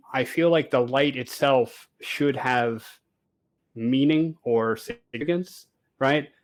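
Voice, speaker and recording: Recorded very cleanly against a silent background, a man with an American accent uses a fairly high pitch, ordinary pitch variation and a fairly slow pace. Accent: sounds American. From Canada. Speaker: space engineer and game streamer. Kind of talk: casual interview chat. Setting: voice call over internet. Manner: hesitant, many fillers.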